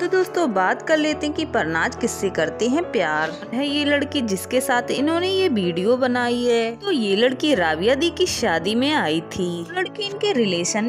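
Music plays in the background as a woman speaks at a fairly slow pace. Her high voice moves in very wide pitch swings. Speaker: channel narrator. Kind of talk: biography narration.

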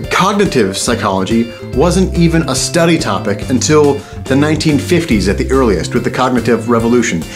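A man speaks at a fairly quick pace with very wide pitch swings. Clear music plays in the background. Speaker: vlogger. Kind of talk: casual talk to camera. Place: home room.

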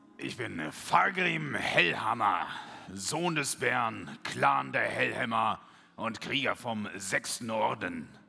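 A man's put-on character voice, medium in pitch, at a very slow pace. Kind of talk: heroic fantasy self-introduction. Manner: proud, formal.

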